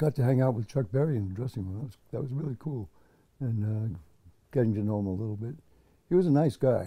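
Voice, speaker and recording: A somewhat breathy man with an American accent, medium pitch, a dark, mellow tone, lively intonation, a very fast pace and long, frequent pauses. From US Northeast (Connecticut). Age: 80s+. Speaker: veteran musician. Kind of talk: interview. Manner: halting.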